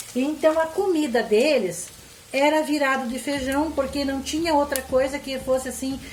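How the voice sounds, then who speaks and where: A woman's high voice at a fairly slow pace, with audible room echo and noticeable background noise. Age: 60s. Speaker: cooking channel host. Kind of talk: cooking tutorial with storytelling. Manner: conversational, folksy.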